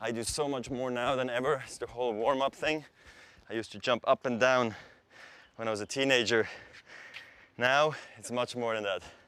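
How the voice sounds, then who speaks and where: Speaking with a Swiss German accent, a man uses a medium pitch and fairly even intonation. His pace is fairly quick, broken by long, frequent pauses. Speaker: athlete. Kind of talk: casual talk during training.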